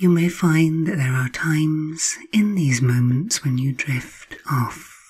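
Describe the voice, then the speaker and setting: In a calm, soothing tone, a woman speaks somewhat breathily at a very deep, low pitch with ordinary variation, very slowly and with hardly any pauses. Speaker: hypnotherapist. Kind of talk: guided hypnosis. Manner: slow, soothing; calm, hypnotic, repetitive phrasing.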